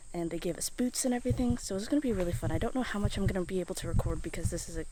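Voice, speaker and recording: Soft-spoken, a woman talks with a dark, mellow tone, vocal fry and ordinary pitch variation. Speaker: travel vlogger. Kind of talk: travel vlog. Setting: outdoors in rainforest; hotel room. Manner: soft-spoken in many clips.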